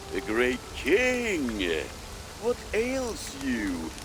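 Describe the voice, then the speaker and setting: A cartoonish character voice from a man, fairly high in pitch, over loud background noise. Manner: gentle, kindly.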